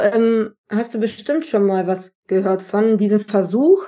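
Speaking at a very slow pace, a woman has a fairly high pitch with ordinary pitch variation. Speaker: podcast host, personal development mentor. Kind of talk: casual interview chat. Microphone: worse audio track quality than usual.

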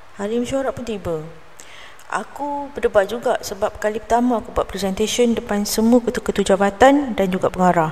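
There is noticeable background noise as a woman talks in a fairly high pitch. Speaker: storyteller podcaster. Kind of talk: first-person storytelling narration.

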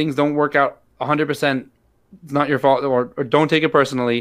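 Speaking at a fairly quick pace, a man with an American accent has an unremarkable speaking voice and a fairly high pitch. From US Midwest, St. Louis, Missouri. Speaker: rabbi and special education teacher. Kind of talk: interview conversation.

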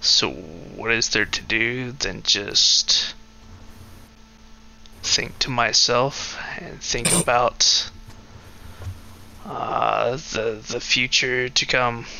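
Using a put-on character voice at a medium pitch, a man talks at a very slow pace with long, frequent pauses over clear background noise.

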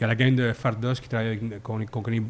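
Speaking very fast in a Quebec accent, a man keeps his medium-pitched voice monotone and flat. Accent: Québécois French. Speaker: beer podcast columnist. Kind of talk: casual chat. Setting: microbrewery pub.

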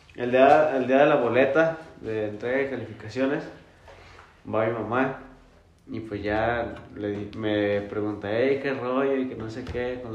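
A man's fairly slow, fairly even-toned voice with long, frequent pauses and big swings in loudness, audible room echo and noticeable background noise. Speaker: podcast co-host. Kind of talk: casual chat.

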